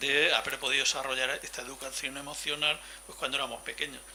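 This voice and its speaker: Background noise is noticeable here. The man's delivery is fairly quick. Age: 60s. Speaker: seminar participant. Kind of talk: testimony.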